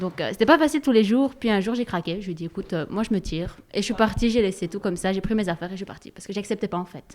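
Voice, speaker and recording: A woman of medium pitch speaks at a very fast pace with hardly any pauses, big swings in loudness and ordinary pitch variation. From Moroccan background. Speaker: workshop participant. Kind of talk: testimony.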